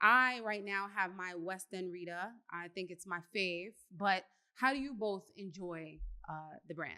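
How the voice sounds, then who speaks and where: A woman with a New York accent, medium pitch and ordinary pitch variation, a bright, sharp tone, big swings in loudness, and a fairly slow pace. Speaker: podcast host, interviewer. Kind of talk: casual interview chat.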